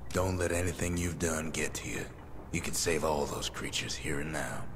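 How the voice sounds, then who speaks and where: Using a put-on character voice, a man speaks with a very deep, low pitch at a moderate pace. Loud background noise fills the recording. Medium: video game.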